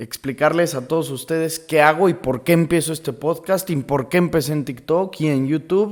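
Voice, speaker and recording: Hardly pausing, a man speaks in a fairly high pitch. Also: ordinary pitch variation, moderate pace. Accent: central Mexican. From Mexico, León, Guanajuato. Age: 20s. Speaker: podcaster, law student. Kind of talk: casual monologue. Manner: conversational, with fillers.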